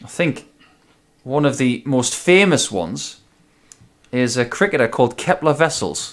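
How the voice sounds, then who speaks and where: A man with a medium-pitched voice and vocal fry talks at a fairly slow pace with lively intonation. He leaves long, frequent pauses. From northern England, Newcastle upon Tyne (Geordie). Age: 40s. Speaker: darts commentator and former darts player. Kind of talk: live darts commentary.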